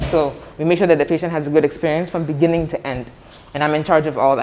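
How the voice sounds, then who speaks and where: A woman with an American accent and a very deep, low pitch talks at a very fast pace with fairly even intonation, over noticeable background noise. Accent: doesn't sound Ghanaian, American-sounding. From United States. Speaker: medical center director. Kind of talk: guided tour interview.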